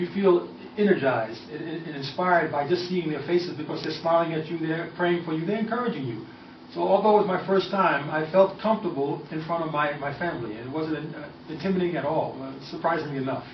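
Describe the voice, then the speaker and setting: Talking at a very fast pace, a man uses a fairly high pitch with ordinary pitch variation. Noticeable background noise and audible room echo surround him. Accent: strong American. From US Northeast, New York City area. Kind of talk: radio interview.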